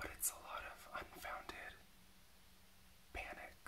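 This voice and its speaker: Someone is whispering at a very slow pace. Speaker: ASMR creator and reiki practitioner; drag queen performer. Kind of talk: ASMR reiki healing session. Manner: soft-spoken, whispering. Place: home room.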